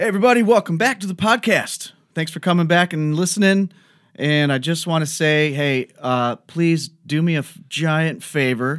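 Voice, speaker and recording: Against a very clean recording with a silent background, a man talks at a moderate pace with ordinary pitch variation. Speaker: podcast host and record label owner. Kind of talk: casual interview chat.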